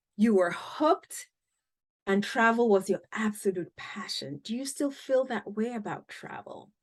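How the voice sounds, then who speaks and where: A woman with an African accent speaks fairly slowly at a fairly high pitch, with lively intonation and big swings in loudness. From Cameroon. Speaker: podcast host. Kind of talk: interview.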